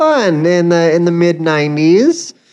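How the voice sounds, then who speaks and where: The speaker is a woman with an American accent. She talks at a fairly low pitch. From Colorado. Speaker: stand-up comedian. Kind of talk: casual interview chat. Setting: live audience at press club.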